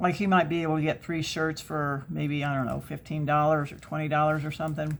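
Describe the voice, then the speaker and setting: A woman speaks at a moderate pace in a very deep, low voice, recorded very cleanly against a silent background. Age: 60s. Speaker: craft YouTuber. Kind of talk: casual chat while crafting. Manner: chatty, with many fillers.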